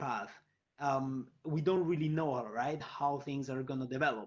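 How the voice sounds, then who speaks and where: A fairly high pitch from a man's voice. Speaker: fintech panelist. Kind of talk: panel discussion. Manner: fast.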